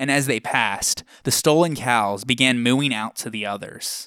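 On a very clean recording with a silent background, a man with a normal speaking voice talks at a moderate pace and medium pitch, with ordinary pitch variation. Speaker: podcast host. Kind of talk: mythic narration, scripted storytelling. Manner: measured, even-paced, narrative storyteller; clear and formal, lecture-like.

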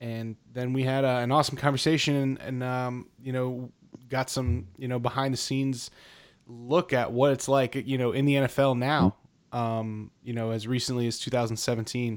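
A man talks in a normal speaking voice at medium pitch with an American accent, at a moderate pace with fairly even intonation. The recording is very clean, with a silent background. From Philadelphia, US. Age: 30s. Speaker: podcast host. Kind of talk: casual chat.

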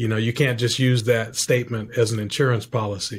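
A man speaks at a medium pitch in a monotone, flat intonation, sounding somewhat breathy. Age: 50s. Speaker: veteran, author and documentary director. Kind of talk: interview. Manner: halting.

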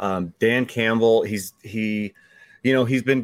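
A man with a fairly low pitch, ordinary pitch variation and an unremarkable speaking voice, with a dry, close sound and no echo. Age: 40s. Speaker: fantasy football analyst. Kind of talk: casual chat.

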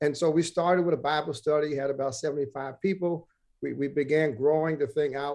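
This man has an unremarkable speaking voice, fairly high in pitch, with an American accent. He talks at a fairly quick pace with fairly even intonation. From Brooklyn, New York. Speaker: pastor. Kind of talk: interview.

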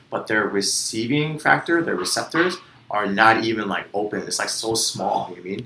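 Noticeable background noise sits behind a man speaking at medium pitch with lively intonation. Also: moderate pace. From US, Vietnamese American family. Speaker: podcast co-host. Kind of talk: casual chat.

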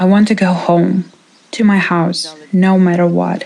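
Amid noticeable background noise, a woman with a Ukrainian accent speaks at a medium pitch and a fairly slow pace, her intonation fairly even. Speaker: interpreter voicing a displaced woman. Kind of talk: dubbed testimony.

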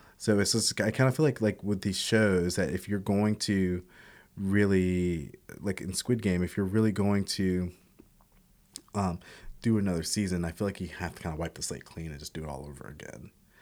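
A man's very deep, low voice at a moderate pace, with ordinary pitch variation, big swings in loudness, and a very clean recording against a silent background. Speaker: guest film and TV enthusiast. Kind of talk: casual chat. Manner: animated, talkative.

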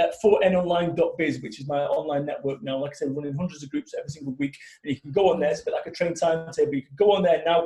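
A man speaks at a very fast pace with hardly any pauses, his loudness swinging widely. Noticeable background noise runs underneath. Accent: Mancunian. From Manchester, England. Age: 40s. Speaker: motivational business speaker. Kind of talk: interview. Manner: animated.

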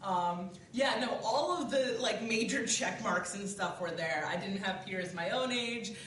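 A woman talks at a fairly slow pace with hardly any pauses, using a fairly high pitch and lively intonation. Noticeable background noise and audible room echo are present. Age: young. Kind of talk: interview.

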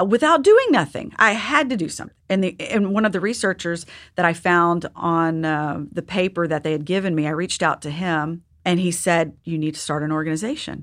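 An unremarkable speaking voice: a woman with an American accent, fairly low pitch, ordinary pitch variation and a fairly quick pace, on a very clean recording with a silent background. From Texas. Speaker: patient advocacy founder and mother. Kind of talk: interview.

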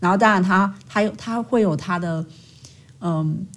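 A woman with a Taiwanese accent speaks in a somewhat breathy voice. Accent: Taiwanese Mandarin. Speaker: school counseling psychologist. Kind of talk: casual interview chat.

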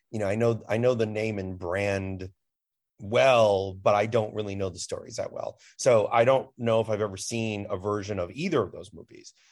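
With an American accent, a man speaks in a plain, everyday voice at a fairly low pitch and moderate pace, with ordinary pitch variation, in a very clean recording over a silent background. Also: big swings in loudness. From US Midwest, Chicago. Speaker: film critic. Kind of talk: casual chat.

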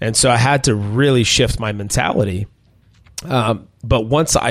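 At a fairly slow pace, a man with an ordinary speaking voice talks at medium pitch in an American accent, with ordinary pitch variation. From Minnesota. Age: 40s. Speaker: chef and restaurant owner. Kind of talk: interview conversation.

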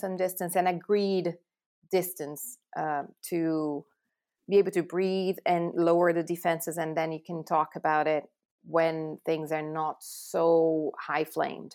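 A woman with a Portuguese accent speaks at a fairly slow pace in a fairly low pitch with fairly even intonation. The recording is very clean with a silent background. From Brazil. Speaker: relationship therapist. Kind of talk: casual interview. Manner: halting, many repetitions and fillers.

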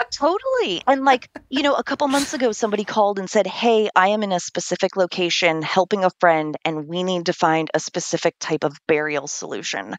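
With an unremarkable speaking voice, a woman talks at a fairly quick pace and a medium pitch, with lively intonation and hardly any pauses. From California. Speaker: death coach. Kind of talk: interview.

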